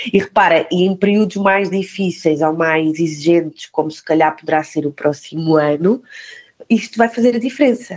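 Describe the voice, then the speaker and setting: In a plain, everyday voice, a woman speaks at a medium pitch. Her pace is moderate. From Portugal, Algarve. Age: 40s. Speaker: recruitment director. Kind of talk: podcast interview.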